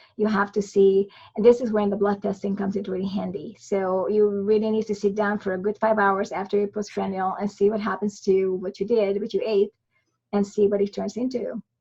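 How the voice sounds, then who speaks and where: Her voice is somewhat breathy with a dark, mellow tone, and this woman talks at a fairly quick pace at a medium pitch with monotone, flat intonation. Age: 60s. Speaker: migraine and electrolyte researcher, author. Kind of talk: podcast interview. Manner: halting, frequent false starts.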